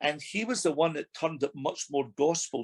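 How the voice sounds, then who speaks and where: A man talks at a moderate pace with a fairly high pitch. The sound is dry and close, with no echo. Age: 60s. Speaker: former musical theatre actor and vocal coach. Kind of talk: interview. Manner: halting, many fillers.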